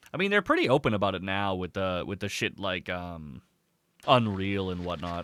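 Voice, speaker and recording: Speaking at a moderate pace, a man has a fairly low pitch and a bright, sharp tone. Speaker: streamer and wrestling game commentator. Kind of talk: live stream commentary and casual chat. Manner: low energy, chill.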